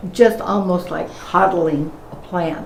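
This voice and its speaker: Over noticeable background noise, the speaker's pitch varies in an ordinary way. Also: woman. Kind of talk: interview answer.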